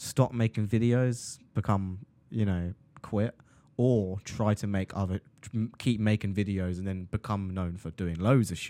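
A man's fairly low, dark and mellow voice at a fairly slow pace, fairly even in intonation, on a very clean recording with a silent background. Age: 20s. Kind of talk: casual chat.

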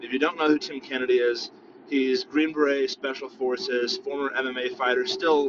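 Noticeable background noise runs behind the recording. A man talks at a moderate pace. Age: 30s. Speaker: podcast host. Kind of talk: solo opinion monologue. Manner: casual, filler-heavy.

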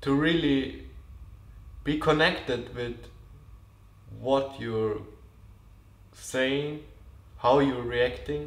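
Speaking very slowly at a medium pitch, a man leaves long, frequent pauses. His intonation is fairly even, and the room echo is audible. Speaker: podcast host. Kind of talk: spiritual monologue.

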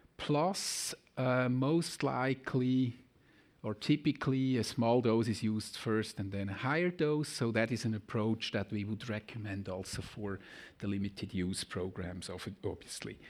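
A man talks with a Swiss German accent. The recording is very clean, with a silent background. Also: medium pitch for a man, ordinary pitch variation, moderate pace. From German-speaking Switzerland. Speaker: pharmacology professor. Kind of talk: lecture. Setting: conference hall with audience.

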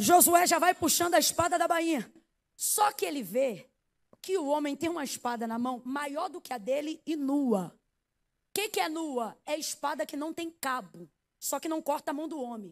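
In a very clean recording with a silent background, a woman speaks at a moderate pace with a high pitch, lively intonation and an animated tone. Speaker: preacher. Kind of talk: sermon. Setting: church.

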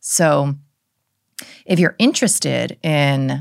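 Very clean recording of a woman, silent background throughout. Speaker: holistic psychiatrist and author. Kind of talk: casual interview conversation.

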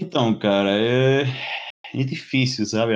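Here a man speaks with an Argentine accent. His pace is fairly slow, and his pitch variation is ordinary. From Argentina, Greater Buenos Aires. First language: Spanish (speaking Portuguese). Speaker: mechanical engineer and bartender. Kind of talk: casual interview chat. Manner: halting.

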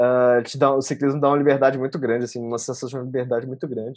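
Against a quiet background, a man speaks with a medium pitch. His intonation is fairly even. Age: 20s. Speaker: software developer. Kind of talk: casual interview.

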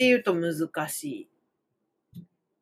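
Very wide pitch swings with music in the background and a dry, close sound with no echo. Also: woman. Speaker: Japanese language teacher, podcaster. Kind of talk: casual monologue lesson podcast. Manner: rambling, frequent fillers and self-corrections.

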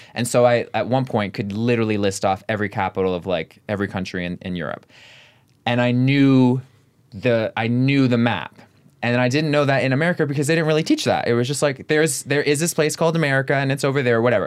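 A man at a medium pitch with ordinary pitch variation and a very fast pace, on a very clean recording with a silent background. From London, England. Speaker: TikTok creator and actor. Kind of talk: casual interview chat.

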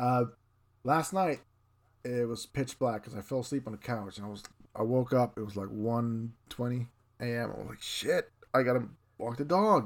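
In a very clean recording with a silent background, a man with a Swedish accent speaks at a moderate pace, his loudness swinging widely and his speech broken by long, frequent pauses. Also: medium pitch for a man, ordinary pitch variation. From northern Sweden. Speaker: illustrator, podcast co-host. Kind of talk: casual chat.

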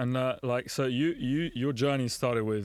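A man in a London accent, medium in pitch and moderate in pace. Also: very clean recording, silent background. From London, England. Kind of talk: casual chat.

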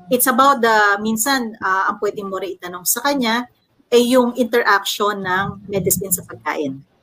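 A woman speaks in a medium pitch with a bright, sharp tone. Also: ordinary pitch variation, moderate pace. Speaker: corporate public relations officer. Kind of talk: casual panel discussion.

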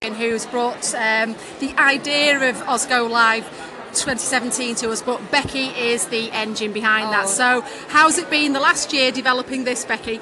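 A woman speaks at a high pitch and a moderate pace. Her intonation is fairly even, and background noise is noticeable. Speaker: podcast host. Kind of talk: casual interview chat. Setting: conference event venue.

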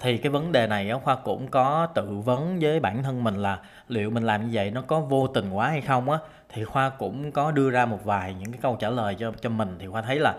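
Speaking with a Southern Vietnamese accent, a man goes at a fairly quick pace with hardly any pauses and ordinary pitch variation. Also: medium pitch for a man. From Saigon, southern Vietnam. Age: 30s. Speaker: podcaster. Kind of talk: solo monologue podcast. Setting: home room recording.

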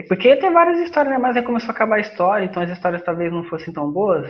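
A man speaks over noticeable background noise. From Rio de Janeiro state, Brazil. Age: 20s. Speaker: podcast co-host. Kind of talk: casual chat.

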